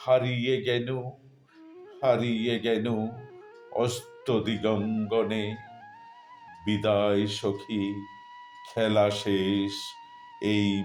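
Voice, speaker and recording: A man speaks in a fairly low pitch with monotone, flat intonation. Music plays in the background. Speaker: poetry reciter. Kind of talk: poetry reading. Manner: deeply emotional.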